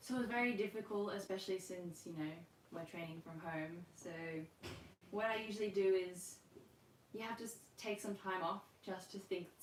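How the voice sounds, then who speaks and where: A woman speaks at a moderate pace and a medium pitch, in an Australian accent, with long, frequent pauses. Her intonation stays fairly even, and there is noticeable background noise. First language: Russian. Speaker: rhythmic gymnast and coach. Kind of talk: online class Q&A. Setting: livestream from home. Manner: casual, filler-heavy.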